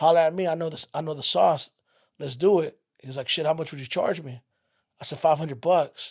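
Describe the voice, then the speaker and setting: Against a quiet background, a man with a normal speaking voice talks at a fairly quick pace, his fairly high pitch carrying fairly even intonation while his loudness swings widely. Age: 30s. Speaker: event promoter and former rapper. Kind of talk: casual interview.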